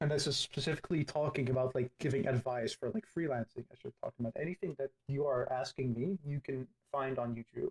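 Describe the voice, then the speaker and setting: A man's somewhat breathy voice sits at a fairly high pitch and shows ordinary pitch variation. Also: fairly quick pace, dry, close sound with no echo. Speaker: digital artist, game builder. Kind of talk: interview answer.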